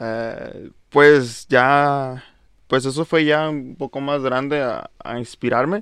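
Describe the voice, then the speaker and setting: Against a quiet background, a man speaks at a medium pitch with fairly even intonation. He has an unremarkable speaking voice. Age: 20s. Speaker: singer and musician, paramedic. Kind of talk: casual interview.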